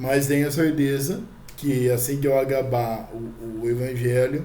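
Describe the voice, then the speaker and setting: Audible room echo, a fairly slow pace, and fairly even intonation. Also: man, medium pitch for a man. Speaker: spiritist channel host. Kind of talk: religious teaching talk. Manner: halting, many fillers; soft-spoken.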